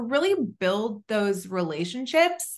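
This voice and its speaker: Speaking at a fairly slow pace, a woman with an American accent has a fairly high pitch. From Southern California. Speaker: tech founder. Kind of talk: interview.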